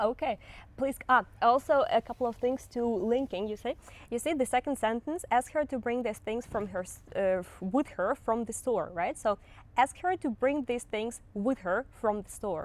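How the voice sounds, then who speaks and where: A woman's high voice with a slight Russian accent and lively intonation, at a moderate pace, on a very clean recording with a silent background. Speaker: language teacher. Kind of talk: tutorial. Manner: halting.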